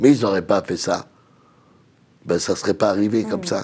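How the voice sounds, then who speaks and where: This man's voice has a dark, mellow tone. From Nanterre, Paris region. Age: 60s. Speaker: community activist and social worker. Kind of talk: TV panel discussion.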